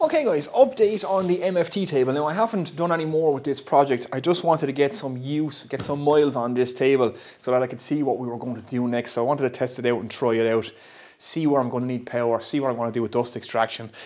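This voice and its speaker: At a very fast pace, a man speaks with ordinary pitch variation. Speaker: woodworker vlogger. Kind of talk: casual vlog chat. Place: workshop. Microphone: lapel.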